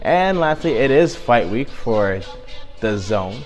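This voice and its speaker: A man speaks with lively intonation over music playing in the background. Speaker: boxing news presenter. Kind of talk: news roundup talk to camera.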